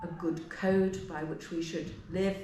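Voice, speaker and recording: A woman at a moderate pace and medium pitch, with noticeable background noise and audible room echo. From England. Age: 70s. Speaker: historian. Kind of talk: interview.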